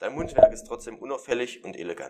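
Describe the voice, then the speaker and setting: A man at a fairly quick pace. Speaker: student radio presenter. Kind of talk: casual chat; humorous poem reading.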